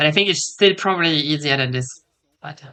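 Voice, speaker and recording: A woman speaks with a non-native accent in a very deep, low pitch. Her tone is bright and sharp. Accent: non-native English accent, noticeable. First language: not English. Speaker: esports co-streamer, caster. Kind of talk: live commentary. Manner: hesitant, many fillers; excited.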